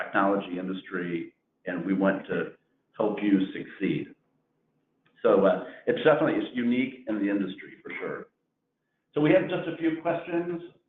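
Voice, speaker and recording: A man speaks in a Missouri accent with long, frequent pauses. His loudness swings widely. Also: moderate pace. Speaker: insurance agency owner. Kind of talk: webinar presentation.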